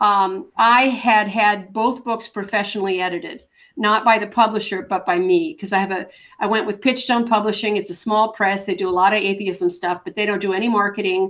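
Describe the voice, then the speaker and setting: A woman with a plain, everyday voice talks at a fairly quick pace and medium pitch, her pitch varying in an ordinary way. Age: 60s. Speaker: author and atheist blogger. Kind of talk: podcast interview.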